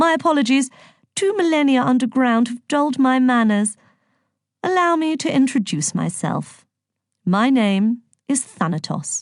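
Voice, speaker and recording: Putting on a character voice, a woman drawls in a high pitch at a moderate pace, leaving long, frequent pauses. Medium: read story. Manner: drawling, mock-polite.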